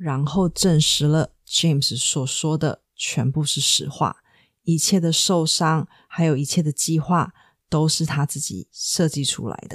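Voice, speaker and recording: A woman with a very deep, low voice speaks at a very slow pace with fairly even intonation, in a very clean recording with a silent background and a dry, close sound with no echo. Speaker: true crime podcaster. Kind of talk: scripted narration.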